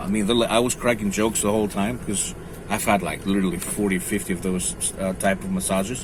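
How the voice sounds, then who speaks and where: With a non-native accent, the speaker moves at a fairly quick pace in monotone, flat intonation over noticeable background noise. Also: man, fairly low pitch for a man. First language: not English. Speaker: strength training vlogger. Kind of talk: casual vlog monologue. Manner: halting with fillers.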